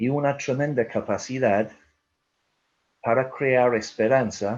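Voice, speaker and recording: A man at a very slow pace with fairly even intonation, over a quiet background. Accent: strong Irish. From Ireland. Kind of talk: webinar talk.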